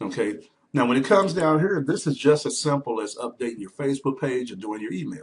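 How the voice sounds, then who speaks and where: Lively intonation marks this man's fairly high voice. He sounds somewhat breathy. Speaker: online business trainer; blogger teaching blogging. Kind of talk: screen-share tutorial. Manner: fast; casual, halting with fillers. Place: home room. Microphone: webcam.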